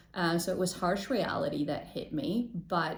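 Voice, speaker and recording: Somewhat breathy and fairly low-pitched, a woman speaks at a moderate pace amid audible room echo. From Chicago, US (born in Poland). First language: Polish. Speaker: intercultural trainer, podcast co-host. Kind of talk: interview.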